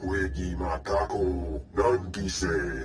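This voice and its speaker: Over clear background noise, a man puts on a character voice, very deep and low, with lively intonation. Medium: video game. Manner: speaks only alien Huttese.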